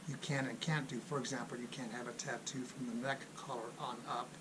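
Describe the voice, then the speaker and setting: Ordinary pitch variation and a moderate pace come through amid noticeable background noise and audible room echo. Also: man. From Los Angeles, California. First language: Spanish. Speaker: Air Force civilian employee, military finance YouTuber. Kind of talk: casual vlog announcement.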